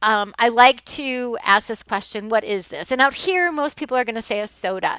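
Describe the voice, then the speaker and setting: Ordinary pitch variation marks this woman's speech in an American accent. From US Midwest. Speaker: college instructor. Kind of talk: online lecture. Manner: hesitant, many fillers.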